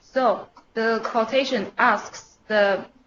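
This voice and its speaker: A woman with a Chinese accent speaks at a very slow pace, her fairly high voice holding fairly even intonation. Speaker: email developer. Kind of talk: internal technical presentation. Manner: halting.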